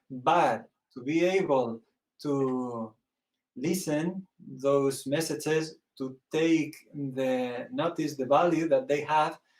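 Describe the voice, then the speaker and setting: With a Spanish accent, a man talks at a very slow pace in a fairly high pitch with ordinary pitch variation. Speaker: priest and theologian. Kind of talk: interview. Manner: halting, searching for words.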